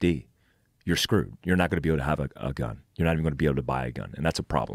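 A man with a very deep, low pitch and vocal fry talks with ordinary pitch variation, in a dry sound with no echo and a quiet background. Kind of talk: interview answer. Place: studio. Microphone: studio mic.

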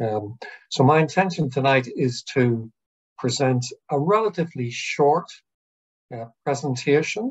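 With an Irish accent, a somewhat breathy man talks at a fairly slow pace, leaving long, frequent pauses. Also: lively intonation, quiet background. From Ireland. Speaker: psychiatrist and professor. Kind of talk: online lecture with Q&A. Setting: video call. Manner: hesitant, many fillers. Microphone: video call.

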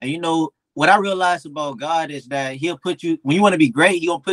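Someone with an American accent speaks at a very fast pace, with big swings in loudness and ordinary pitch variation. The background is quiet and the sound is dry with no echo. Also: man. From Miami, Florida. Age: 20s. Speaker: professional boxer; guest. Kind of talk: casual interview. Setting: video call. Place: home room. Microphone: video call.

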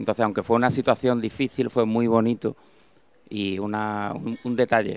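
A man at a fairly quick pace, fairly low-pitched and monotone, flat in intonation, in a dry sound with no echo. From Cádiz, Andalusia, Spain; Andalusia, Spain. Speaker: dermatologist; conference speaker. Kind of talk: interview. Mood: warm, reflective, a little emotional. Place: hall. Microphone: handheld.

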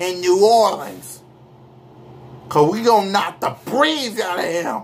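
A man talks loudly in a high voice, his tone animated and his intonation lively. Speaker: sports fan vlogger. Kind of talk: angry rant. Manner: loud, indignant, repeating himself in heated bursts; defiant, sarcastic, animated. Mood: boastful, taunting. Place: home room. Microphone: webcam.

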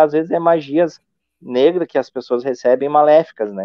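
A man's fairly high voice at a moderate pace, dry with no echo, over a quiet background. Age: 40s. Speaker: paranormal investigator youtuber. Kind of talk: casual live stream chat. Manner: halting, many fillers. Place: home room. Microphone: phone near.

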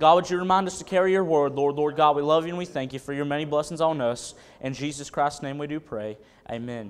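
A man with an Appalachian accent, fairly high pitch and a very fast pace. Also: ordinary pitch variation. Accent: Appalachian US Southern. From North Carolina, Wilkesboro and Caldwell County area. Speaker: preacher. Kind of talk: sermon. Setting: church. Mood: earnest, reverent. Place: church. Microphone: podium.

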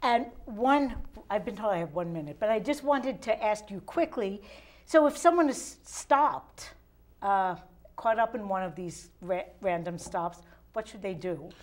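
In an American accent, the voice moves at a moderate pace with very wide pitch swings. Its loudness swings widely too. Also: woman, fairly high pitch for a woman. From Philadelphia. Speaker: local TV talk show host. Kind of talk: casual interview. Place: studio. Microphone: lapel.

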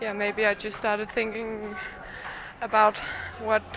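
Fairly slow delivery from a female speaker, noticeable background noise behind her. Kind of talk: interview answer. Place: hall. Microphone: handheld.

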